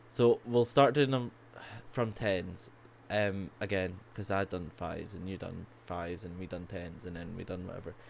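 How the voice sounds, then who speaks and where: A man's very deep, low voice in a Scottish accent, at a moderate pace with ordinary pitch variation and big swings in loudness. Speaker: podcast co-host. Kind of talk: casual chat. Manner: halting, many fillers.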